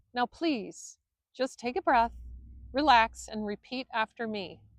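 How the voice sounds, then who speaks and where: A woman puts on a shrill character voice, fairly high in pitch, with lively intonation. She goes at a fairly slow pace, and the sound is dry and close with no echo. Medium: read story. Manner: condescending, like a schoolmaster.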